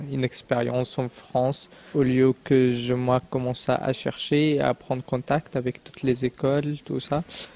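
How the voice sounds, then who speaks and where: Flat and monotone at a very slow pace, the voice sounds dry and close with no echo, over noticeable background noise. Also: man. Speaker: international student. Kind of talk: testimony. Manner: hesitant, many fillers.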